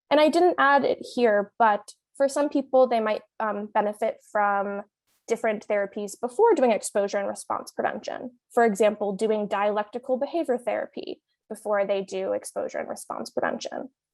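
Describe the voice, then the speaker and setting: A woman speaks with an American accent at a fairly high pitch with ordinary pitch variation. The recording is very clean with a silent background and sounds dry and close with no echo. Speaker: clinical psychologist. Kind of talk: conference talk with slides. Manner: fast.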